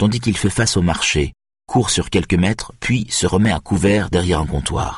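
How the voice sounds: Set against a quiet background, a natural reading voice moves with ordinary pitch variation.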